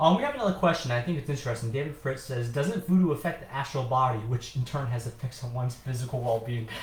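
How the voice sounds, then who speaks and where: A man rattles along at a very fast pace with hardly any pauses while noticeable background noise plays behind him. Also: medium pitch for a man, ordinary pitch variation. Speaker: demonologist and podcast co-host. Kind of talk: casual chat.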